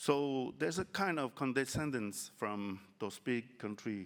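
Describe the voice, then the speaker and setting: A man speaks at a medium pitch with lively intonation. His pace is very slow. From French Polynesia. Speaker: island environment minister. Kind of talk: panel discussion. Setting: conference panel. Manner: halting.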